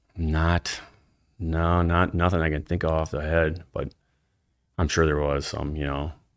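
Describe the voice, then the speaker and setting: Over a silent background in a very clean recording, a man with a very deep, low pitch and a Wisconsin accent speaks at a fairly slow pace in a monotone, flat intonation, leaving long, frequent pauses. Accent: Upper Midwest (Wisconsin). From northeastern Wisconsin. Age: 40s. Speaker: angler and social media fisherman. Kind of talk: casual interview chat.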